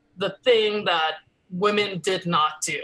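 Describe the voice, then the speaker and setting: A woman speaks at a very slow pace in a Los Angeles accent. Her voice sits at a medium pitch with ordinary pitch variation. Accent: American English, Los Angeles. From Los Angeles, California (Koreatown), part of childhood in Korea. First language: Korean. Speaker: actress and comedian. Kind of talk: interview conversation. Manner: casual, with many fillers.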